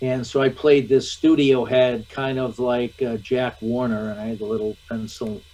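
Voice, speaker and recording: With an American accent, the speaker goes at a fairly slow pace in a monotone, flat intonation. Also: man. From US Midwest, Michigan. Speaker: actor. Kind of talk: interview. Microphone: video call.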